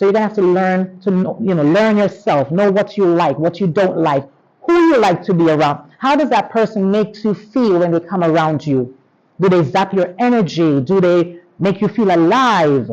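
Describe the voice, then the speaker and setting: A woman with a Jamaican accent, medium pitch and moderate pace, animated in tone, lively in intonation and very even in loudness. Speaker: teacher giving pep talk. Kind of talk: motivational talk to students. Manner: animated, interactive.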